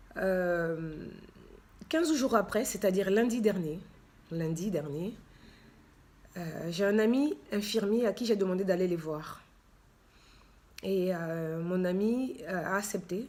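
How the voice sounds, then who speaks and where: With audible room echo, a woman of medium pitch speaks at a very slow pace, using ordinary pitch variation and long, frequent pauses. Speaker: charity founder and author. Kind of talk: personal testimony with reading aloud. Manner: hesitant, many fillers.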